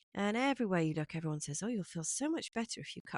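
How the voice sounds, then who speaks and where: A woman talks at a very fast pace with very wide pitch swings. The sound is dry and close with no echo, over a quiet background. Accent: English. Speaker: cut flower grower and vlogger. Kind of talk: casual vlog update.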